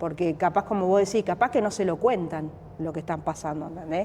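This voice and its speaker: A woman speaks in a fairly low pitch with a dark, mellow tone and ordinary pitch variation. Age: 40s. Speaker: boxer. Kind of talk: interview. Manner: hesitant, repetitive fillers.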